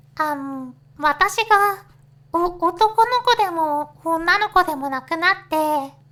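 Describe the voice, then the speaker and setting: A woman's voice is raised and projected, with an extremely high pitch and a bright, sharp tone. She speaks at a very slow pace with ordinary pitch variation. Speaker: virtual YouTuber. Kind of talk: casual talk to camera. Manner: hesitant, stammering.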